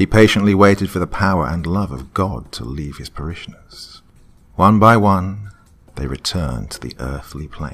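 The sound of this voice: Someone reads in an unforced reading voice.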